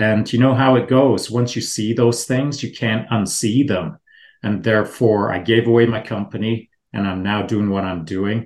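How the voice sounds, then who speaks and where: An unremarkable speaking voice from a man, at a moderate pace with fairly even intonation, over a quiet background. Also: fairly low pitch for a man. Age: 60s. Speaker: special operations veteran co-host. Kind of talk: interview, casual chat.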